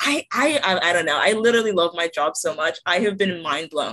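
This plain, everyday voice has an American accent and lively intonation. The pace is fairly quick. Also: woman. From Delaware, US (born in Nigeria, moved 2008). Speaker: engineering student, podcast host. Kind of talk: casual chat.

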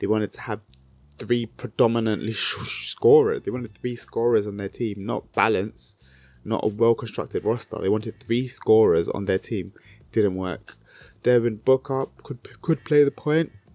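This voice has a dark, mellow tone and a British accent, with ordinary pitch variation. It moves at a moderate pace with a dry sound and no echo. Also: man. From Britain. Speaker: basketball YouTuber. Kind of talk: solo commentary video. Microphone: handheld.

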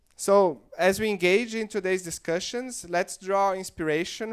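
A man speaks at a moderate pace with a Portuguese accent. The background is quiet. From Brazil. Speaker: investment firm director and event founder. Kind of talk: opening speech. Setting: stage with audience. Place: hall. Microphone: handheld.

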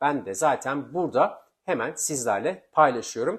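Speaking at a fairly slow pace, a man with a fairly high pitch is captured in a very clean recording against a silent background. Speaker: immigration law video presenter. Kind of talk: informational vlog.

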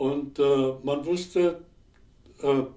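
The man's tone is dark and mellow. There is little rise and fall in his delivery. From Upper Silesia. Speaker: war veteran, historical eyewitness. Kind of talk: interview answer. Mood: calm, reflective recollection. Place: studio.

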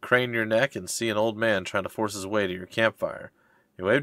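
The recording consists of plain reading aloud.

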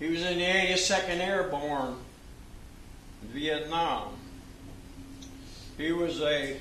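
Speaking at a very slow pace with long, frequent pauses, a man with a high pitch keeps his intonation fairly even, amid audible room echo and light background noise. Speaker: retired FBI special agent. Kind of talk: training speech to law enforcement audience. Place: hall. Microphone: podium.

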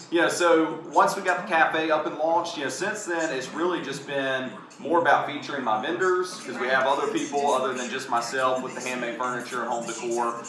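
Noticeable background noise and audible room echo sit behind a man who talks at a fairly quick pace. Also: ordinary pitch variation. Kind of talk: interview answer. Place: cafe. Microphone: camera far.

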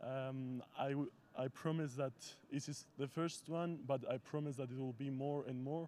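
Over light background noise, a man talks in a monotone, flat intonation at a moderate pace, the sound dry with no echo. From Cyprus. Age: young. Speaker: junior judo athlete. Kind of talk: post-competition interview. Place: hall. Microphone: handheld.

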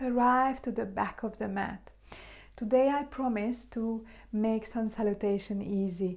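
With a Hungarian accent and a soothing, calm tone, a woman speaks at a fairly slow pace and with fairly even intonation against a quiet background. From Hungary. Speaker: yoga teacher. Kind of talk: guided meditation and yoga class instruction. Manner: slow, soothing, calm; gentle, encouraging, soft-spoken. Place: home room. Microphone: camera far.

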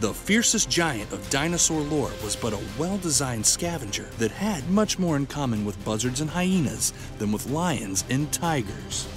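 Over clear background music, a man with a fairly high pitch speaks at a moderate pace with hardly any pauses and very wide pitch swings, the sound dry with no echo. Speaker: voice actor. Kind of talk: nature documentary narration.

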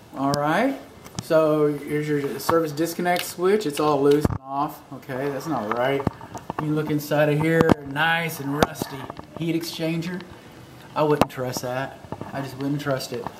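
The speech comes at a fairly slow pace. Loud noise fills the background. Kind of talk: walkthrough commentary. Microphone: phone near.

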